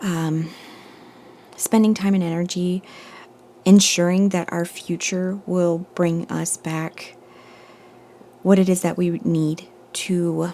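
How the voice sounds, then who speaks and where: The speech moves at a very slow pace with monotone, flat intonation and long, frequent pauses. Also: woman. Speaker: tarot reader. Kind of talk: collective tarot reading. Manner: meandering, thinking aloud.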